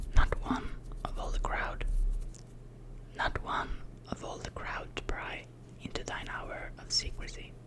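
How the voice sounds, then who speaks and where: Fairly slow whispering with long, frequent pauses over noticeable background noise. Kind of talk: ASMR poetry reading. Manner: soft, whispered.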